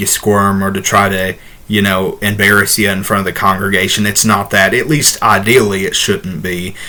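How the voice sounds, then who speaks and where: A man talks at a moderate pace with a slight Southern US accent. His tone is bright and sharp. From Ohio, US Midwest. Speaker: ordained minister and video host. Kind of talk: casual Q&A talk to camera. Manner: halting, many fillers.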